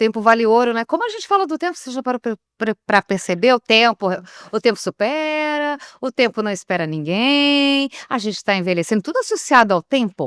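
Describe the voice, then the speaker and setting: On a very clean recording with a silent background, a woman speaks at a high pitch with very wide pitch swings. The sound is dry and close, with no echo. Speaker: radio announcer. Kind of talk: interview answer.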